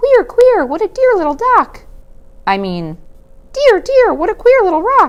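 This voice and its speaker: This put-on character voice is squeaky, with an extremely high pitch. It moves at a moderate pace with long, frequent pauses. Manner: delighted, whimsical.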